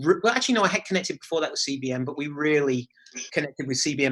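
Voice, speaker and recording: A man with an English accent, fairly high in pitch with a bright, sharp tone, at a very fast pace over a quiet background. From England. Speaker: charity executive director. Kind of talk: interview. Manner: hesitant, with many fillers and repeated words.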